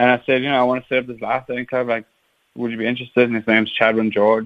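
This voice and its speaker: A man rushes along very fast at a medium pitch, his intonation monotone and flat. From South Africa, Hout Bay, Cape Town. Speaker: big wave surfer and ocean school founder. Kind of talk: radio interview. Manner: hesitant, many fillers.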